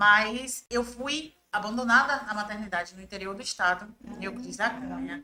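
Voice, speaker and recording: A fairly high-pitched woman in a Bahian accent, at a moderate pace with hardly any pauses, ordinary pitch variation and big swings in loudness. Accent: Bahian Brazilian Portuguese. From Bahia, Brazil (raised in Salvador). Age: 30s. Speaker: journalist and press officer. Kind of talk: podcast interview.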